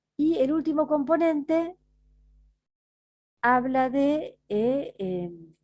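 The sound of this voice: Speaking at a very slow pace, a woman has a high pitch, lively intonation, and a slightly mellow tone.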